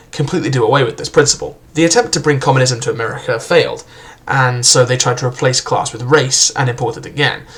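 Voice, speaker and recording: Talking at a very fast clip with fairly even intonation, a man with a medium-pitched voice is heard against noticeable background noise. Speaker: book reviewer. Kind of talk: casual book review talk to camera.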